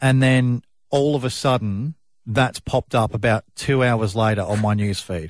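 An Australian-accented man, dry and close with no echo, in a very clean recording against a silent background. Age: 30s. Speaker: radio host. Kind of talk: breakfast radio chat.

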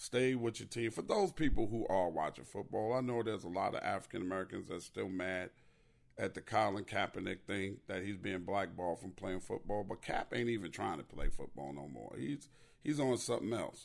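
This man talks at a fairly quick pace in a fairly low pitch, with vocal fry. His tone is animated and his intonation lively. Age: 50s. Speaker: podcast host. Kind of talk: casual solo monologue.

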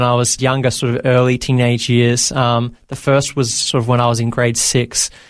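This is a man speaking at a medium pitch. He has an Australian accent. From Australia (Victoria, Bendigo/Maryborough). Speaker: entrepreneur and former youth pastor. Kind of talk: interview testimony. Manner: casual with frequent fillers.

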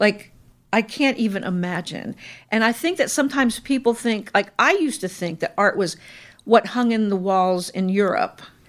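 An unremarkable speaking voice from a woman with an American accent, fairly high-pitched with lively intonation at a moderate pace, on a very clean recording with a silent background. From Indiana, US Midwest. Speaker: retired restaurant owner and chef. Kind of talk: casual interview.

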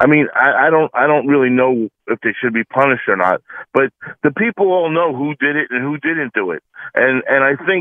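Lively intonation marks a man's unremarkable speaking voice, pitched fairly high and moving at a fairly quick pace. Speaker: caller. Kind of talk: call-in opinion. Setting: phone call.

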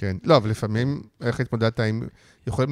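On a very clean recording with a silent background, a man is heard in dry, close sound with no echo. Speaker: podcast host. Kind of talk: interview. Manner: halting.

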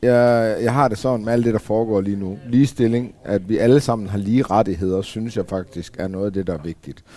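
A man talks at a fairly quick pace with hardly any pauses. His fairly low voice has a dark, mellow tone and ordinary pitch variation. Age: 40s. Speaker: former biker gang member. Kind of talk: casual panel discussion. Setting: café.

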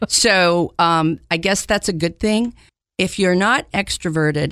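An American accent at a moderate pace, in a very clean recording with a silent background. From Maryland, outside Washington DC. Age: 60s. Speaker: food bank executive director. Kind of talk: interview.

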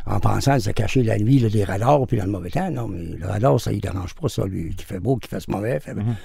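Somewhat breathy and dark, mellow in tone, a man speaks at a fairly quick pace with a fairly low pitch and ordinary pitch variation. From Quebec. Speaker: former mercenary pilot and drug smuggler. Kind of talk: interview.

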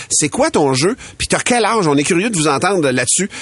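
Over noticeable background noise, a man speaks in a high voice with very wide pitch swings. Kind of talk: casual morning radio chat.

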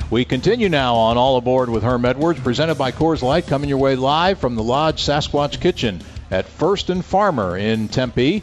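An upbeat tone carries the moderate-paced speech, with music in the background. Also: man. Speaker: radio play-by-play announcer and show host. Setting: live restaurant broadcast. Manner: smooth, upbeat, brisk and rhythmic; broadcast-polished.

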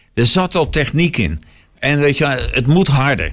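Here is a man with lively intonation. Vocal fry shows up in his voice. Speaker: podcast co-host. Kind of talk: casual chat.

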